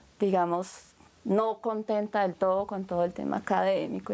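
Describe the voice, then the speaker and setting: A woman with a Japanese accent at a moderate pace. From Colombia, Bogotá. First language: Japanese (speaking Spanish). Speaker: filmmaker and anthropologist. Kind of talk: interview.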